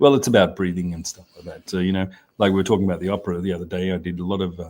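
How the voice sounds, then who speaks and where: Talking at a very fast pace, a man with an Australian accent has a very deep, low pitch, fairly even intonation and big swings in loudness. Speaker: onsen hotel owner and show co-host. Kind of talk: casual chat. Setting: live stream. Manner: halting.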